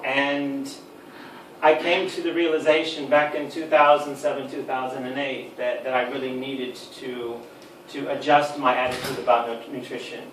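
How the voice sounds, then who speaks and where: A man with an American accent talks at a fairly high pitch with big swings in loudness. Room echo is audible, along with noticeable background noise. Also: fairly even intonation, moderate pace. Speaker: supplement industry expert. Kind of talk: lecture. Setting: talk to a live audience with microphone lead. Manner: hesitant, many ums and repeated words.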